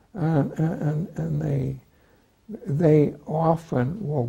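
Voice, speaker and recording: A man speaks with a dark, mellow tone and vocal fry. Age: 90s. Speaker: retired psychiatrist and author. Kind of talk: interview. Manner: halting, many hesitations.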